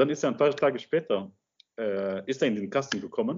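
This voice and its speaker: A man talks at a very fast pace. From Luxembourg. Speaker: film director. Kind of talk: interview. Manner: halting.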